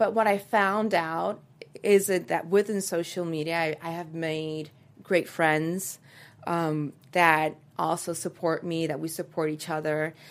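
A woman with a Spanish accent speaks at a fairly slow pace. Her pitch is fairly low and her intonation fairly even. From Dominican Republic (Santo Domingo). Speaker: actress and producer. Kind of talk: interview. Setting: studio.

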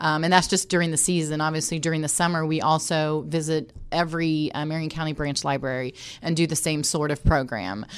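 In a Midwestern American accent, a woman with a very deep, low pitch talks at a fairly quick pace with hardly any pauses and fairly even intonation, on a very clean recording with a silent background. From Indianapolis, Indiana, US Midwest. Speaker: sports team community relations director. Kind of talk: interview.

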